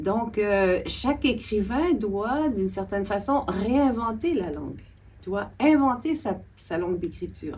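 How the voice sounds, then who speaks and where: A woman speaks very slowly in a somewhat breathy voice with lively intonation. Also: medium pitch for a woman. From Quebec. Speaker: literature scholar and author. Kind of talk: interview discussion. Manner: halting, many hesitations.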